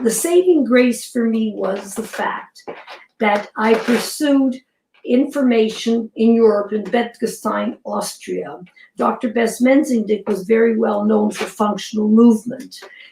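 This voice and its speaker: Her voice is somewhat breathy, with a dark, mellow tone and fairly high pitch. The woman goes at a fairly slow pace. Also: ordinary pitch variation. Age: 80s+. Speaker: fitness programme creator. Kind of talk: interview.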